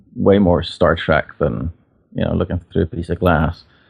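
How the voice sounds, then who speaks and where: In an Irish accent, a man talks with a very deep, low pitch. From Northern Ireland, near Belfast. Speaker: portrait photographer. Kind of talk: interview conversation. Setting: podcast interview. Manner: halting, many false starts and fillers.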